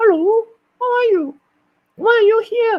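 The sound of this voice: Squeaky and extremely high, the put-on character voice is pitched far up. Its pace is moderate.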